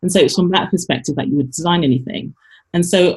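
A woman's dark, mellow tone comes out somewhat breathy, with ordinary pitch variation. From London, England. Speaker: business coach and author. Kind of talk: interview conversation.

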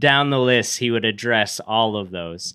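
The recording is very clean, with a silent background. A man with an American accent talks at a fairly slow pace in a bright, sharp tone with ordinary pitch variation. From upstate New York. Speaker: pastoral intern and factory worker. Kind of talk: casual interview, personal testimony. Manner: hesitant fillers.

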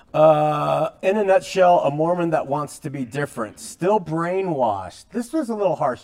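A man with a fairly high pitch talks at a moderate pace with hardly any pauses. He has an unremarkable speaking voice and lively intonation. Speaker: religious talk show host. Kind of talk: interview. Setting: studio.

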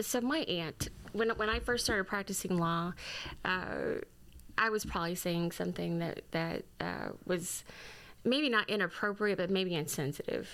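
A woman with an American accent uses an ordinary speaking voice at a medium pitch and moderate pace, with ordinary pitch variation, in a very clean recording with a silent background. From Southeast Missouri (Fredericktown). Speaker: lawyer and government division director. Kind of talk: interview.

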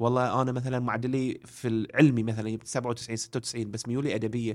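This man has a plain, everyday voice, medium in pitch, and talks at a moderate pace. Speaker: education and career coach. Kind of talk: casual interview.

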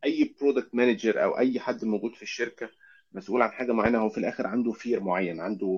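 Using a plain, everyday voice, a man speaks at a fairly quick pace in a medium pitch with ordinary pitch variation. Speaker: UX research lead. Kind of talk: casual interview.

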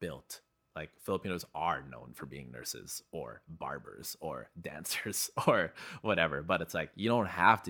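A man with a Canadian accent, very deep and low in pitch, vocal fry, a bright, sharp tone, lively intonation, big swings in loudness and a fairly slow pace. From Canada, East Vancouver (from age five; born in Philippines). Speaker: photographer. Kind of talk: casual chat. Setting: studio.

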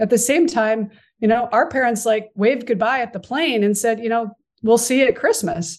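A woman speaks at a moderate pace with fairly high pitch and ordinary pitch variation. The background is quiet. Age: 50s. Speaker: performance coach and author. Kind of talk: interview.

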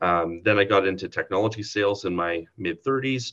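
With a Canadian Prairie accent, a man speaks at a moderate pace and fairly low pitch with ordinary pitch variation. His tone is bright and sharp, and the background is quiet. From Saskatchewan, Canada. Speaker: provincial politician. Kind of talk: interview.

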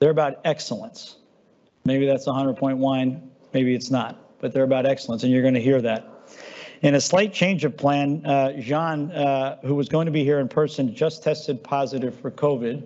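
A man's unremarkable speaking voice, fairly high in pitch, with fairly even intonation at a moderate pace. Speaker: company CEO hosting client event. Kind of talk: moderated panel discussion. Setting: live event with audience.

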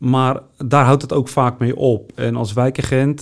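At a fairly slow pace, a man with medium pitch speaks in an ordinary speaking voice. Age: 40s. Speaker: neighbourhood police officer. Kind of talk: interview.

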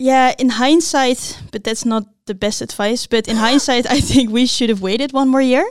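High-pitched woman at a moderate pace, with fairly even intonation. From Netherlands, Blaricum. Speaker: tech startup co-founder. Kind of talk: interview.

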